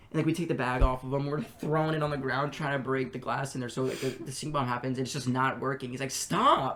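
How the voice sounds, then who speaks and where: In an American accent, the speaker goes at a very fast pace amid noticeable background noise. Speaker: podcast co-host. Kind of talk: casual chat. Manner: halting.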